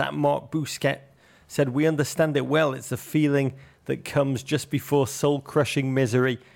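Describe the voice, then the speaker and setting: The intonation stays fairly even at a moderate pace. The recording is very clean, with a silent background. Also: man. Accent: English. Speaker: football podcast co-host. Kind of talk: casual chat. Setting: studio.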